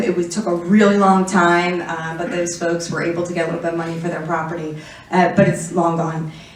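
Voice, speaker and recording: Over noticeable background noise and audible room echo, a woman speaks fairly quickly. Her voice is fairly low, with hardly any pauses. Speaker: city councilmember. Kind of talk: conference presentation. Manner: fast; hesitant with fillers.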